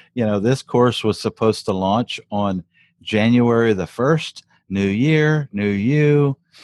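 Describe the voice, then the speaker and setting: A man with an American accent and medium pitch speaks at a very slow pace with ordinary pitch variation, in a dry, close sound with no echo and a quiet background. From South Louisiana. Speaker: digital product entrepreneur and course creator. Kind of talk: casual interview.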